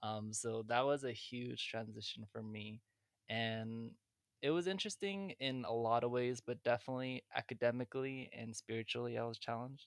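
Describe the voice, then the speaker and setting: A man with an American accent at a moderate pace and medium pitch, with ordinary pitch variation and a dry, close sound with no echo. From California, San Jose. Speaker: podcast guest, college graduate. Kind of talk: casual chat.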